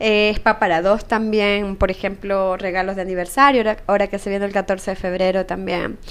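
A woman talks at a fairly quick pace in a flat, monotone delivery. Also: medium pitch for a woman, hardly any pauses. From Ecuador. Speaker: entrepreneur, spa business founder. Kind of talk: interview.

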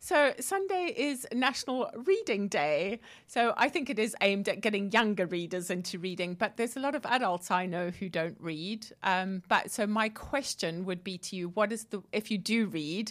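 Recorded very cleanly against a silent background, a woman speaks at a medium pitch and a moderate pace. She has a plain, everyday voice with lively intonation. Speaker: co-host and coach. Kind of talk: radio talk show chat. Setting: radio studio with headset.

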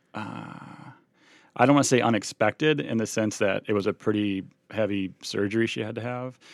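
Here is a man with a normal speaking voice. He talks at a moderate pace. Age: 40s. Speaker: special education teacher. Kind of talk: casual interview.

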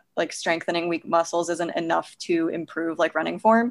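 Talking at a fairly quick pace, a woman with a plain, everyday voice keeps a fairly low pitch and fairly even intonation. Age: 20s. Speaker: physical therapist and running coach. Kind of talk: casual interview.

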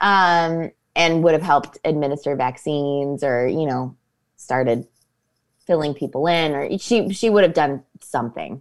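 With a Northeast Ohio accent, a woman speaks at a moderate pace in a very deep, low pitch. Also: ordinary pitch variation. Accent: Midwestern American (Northeast Ohio). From Ohio, Akron area (Copley/Fairlawn). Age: 30s. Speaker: actress. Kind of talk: casual chat.

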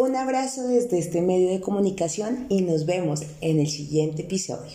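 Room echo is audible as a woman speaks at a fairly slow pace. Her pitch swings very widely. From Colombia, Bogotá. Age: 30s. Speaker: financial coach. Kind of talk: podcast monologue.

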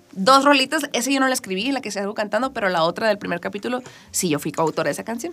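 A woman with a bright, sharp, fairly high voice speaks at a very fast pace in an animated tone, her pitch swinging very widely. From northern Mexico, Culiacán, Sinaloa. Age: 20s. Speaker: singer-songwriter. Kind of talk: interview. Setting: radio studio.

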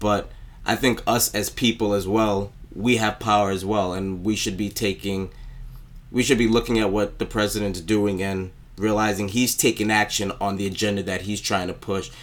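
A man with an American accent, fairly low pitch, monotone, flat intonation and a moderate pace. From New York, Brooklyn. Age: 20s. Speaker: podcast co-host. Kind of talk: casual chat.

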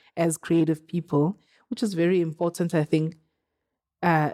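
In a dry, close recording with no echo, a woman speaks at a moderate pace in a fairly low pitch with monotone, flat intonation. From South Africa. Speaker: advertising agency co-founder and creative director. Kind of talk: casual interview.

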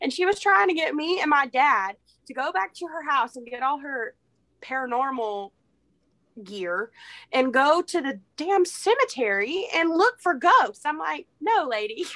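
A woman with an American accent speaks in a raised, projected voice, high-pitched with a bright, sharp tone, at a fairly slow pace. Her pitch swings very widely and her loudness rises and falls sharply. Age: 20s. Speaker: podcast guest. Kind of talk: casual chat.

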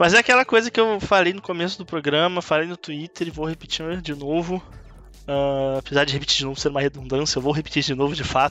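Very fast male speech with a bright, sharp tone, fairly high pitch and ordinary pitch variation over a quiet background. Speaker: esports reporter. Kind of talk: casual chat. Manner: talkative.

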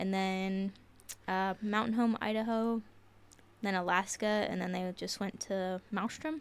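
A woman with an American accent and an unremarkable speaking voice, medium in pitch, at a fairly slow pace with fairly even intonation, on a very clean recording with a silent background. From southeastern Ohio. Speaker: military service member and podcast team member. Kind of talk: casual chat.

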